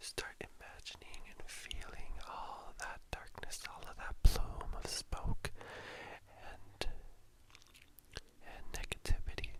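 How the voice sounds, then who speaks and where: Whispering at a fairly slow pace. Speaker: drag performer. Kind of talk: guided meditation. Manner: whispered, soft-spoken.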